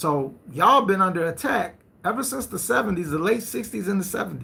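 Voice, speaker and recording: The voice is raised and projected, with a bright, sharp tone. Its intonation is lively and the pace fairly quick. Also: man, high pitch for a man. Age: 50s. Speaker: live stream host. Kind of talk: live stream talk. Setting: live stream. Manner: animated.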